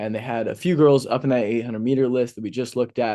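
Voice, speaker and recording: A man with an American accent speaks at a very fast pace in a dark, mellow tone. The background is quiet. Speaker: sports podcast host. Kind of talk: casual sports commentary. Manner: mumbling.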